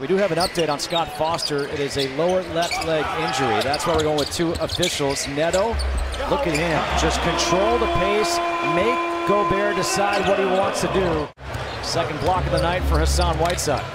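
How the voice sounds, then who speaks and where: The speech comes at a moderate pace. Noticeable background noise sits underneath it. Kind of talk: live sports play-by-play commentary.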